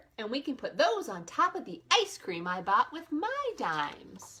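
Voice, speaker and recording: Moderate tempo and high pitch in a woman's put-on character voice. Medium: read story.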